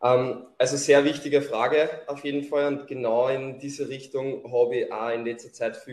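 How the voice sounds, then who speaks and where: A man with a Lower Austrian accent at a fairly slow pace. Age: 20s. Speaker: bodybuilding athlete and coach. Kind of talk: podcast interview.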